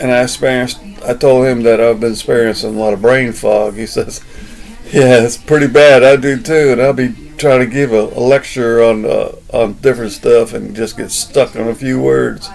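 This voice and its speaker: A man with a Southern US accent, medium pitch and fairly even intonation, at a moderate pace over noticeable background noise. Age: 60s. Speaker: vlogger. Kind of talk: casual monologue. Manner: halting.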